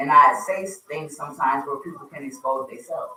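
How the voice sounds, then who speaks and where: The speaker is a woman. She talks in an American accent. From US East Coast (Wilmington, Delaware). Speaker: radio host. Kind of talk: casual chat.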